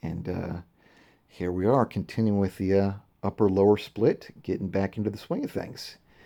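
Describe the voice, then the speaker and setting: A man speaks fairly quickly in a fairly low pitch with a dark, mellow tone. The background is quiet. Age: 30s. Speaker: bodybuilder. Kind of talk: casual video diary voiceover. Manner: halting, many fillers.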